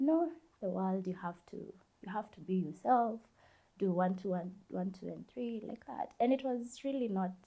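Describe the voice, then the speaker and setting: Somewhat breathy and dark, mellow in tone, a woman speaks at a fairly slow pace with lively intonation. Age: 20s. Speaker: university student sharing life story. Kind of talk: interview, personal testimony. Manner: halting.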